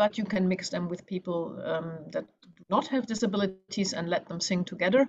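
This woman speaks at a fairly quick pace. Her medium-pitched voice is somewhat breathy. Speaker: webinar organizer. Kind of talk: webinar introduction. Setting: video call. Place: home room. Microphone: video call.

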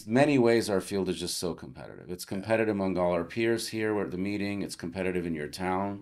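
Against a quiet background, a man with an American accent speaks at a fairly quick pace with hardly any pauses, a fairly low pitch and ordinary pitch variation. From Los Angeles, California, US. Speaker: plastic surgeon; podcast guest. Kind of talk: interview conversation. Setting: studio at a conference. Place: home room. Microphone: studio mic.

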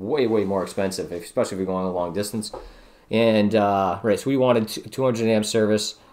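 Speaking at a fairly low pitch with fairly even intonation, a man has an unremarkable speaking voice. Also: moderate pace. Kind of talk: tutorial.

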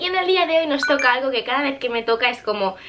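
Music plays in the background as a woman talks in a raised, projected voice. Her pace is fairly quick. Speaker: vlogger. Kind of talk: casual vlog chat. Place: home room.

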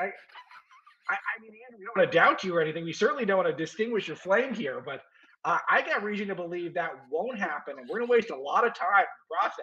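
A man talks in a raised, projected voice at a very fast pace, with lively intonation and big swings in loudness. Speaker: interview guest, news editor. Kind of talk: interview answer. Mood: fond, amused storytelling.

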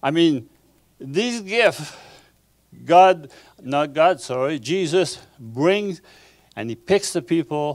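A man with a Quebec accent, fairly high-pitched, with lively intonation, a very slow pace and long, frequent pauses, over a quiet background. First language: French. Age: 60s. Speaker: pastor. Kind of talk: sermon. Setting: church. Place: church. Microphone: handheld.

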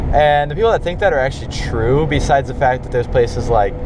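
Noticeable background noise, a dry sound with no echo, and ordinary pitch variation. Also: man. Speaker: driver vlogger. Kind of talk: casual vlog chat. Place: car. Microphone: phone near.

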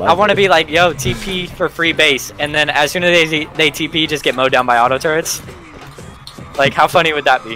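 Music plays in the background as a man speaks at a moderate pace, fairly high in pitch, with ordinary pitch variation. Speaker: gamer on voice chat. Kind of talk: casual slang, profanity. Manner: casual, joking.

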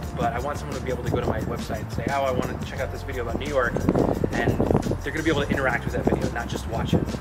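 Music can be heard in the background. Over it, a man talks. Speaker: travel vlogger. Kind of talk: casual vlog chat. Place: street. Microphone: camera far.

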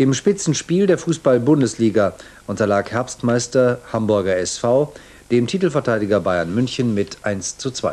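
Here a man talks at a moderate pace. His pitch swings very widely. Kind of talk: TV news broadcast reading. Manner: formal, measured. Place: studio. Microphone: lapel.

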